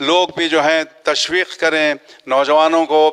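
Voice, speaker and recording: The speaker is a man. His voice sits fairly high. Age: 60s. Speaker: trust organiser and community worker. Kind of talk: media interview appeal. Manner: halting with filler phrases.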